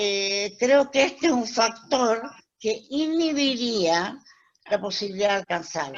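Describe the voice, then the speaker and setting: Very slowly, a woman speaks with lively intonation. Her pitch is fairly high. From Chile. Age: 70s. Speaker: webinar host. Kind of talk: casual chat.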